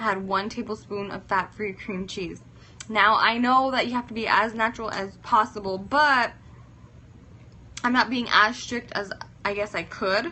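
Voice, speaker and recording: A woman with a fairly high pitch speaks at a moderate pace, using fairly even intonation and long, frequent pauses. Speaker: fitness influencer. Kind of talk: casual live-stream chat.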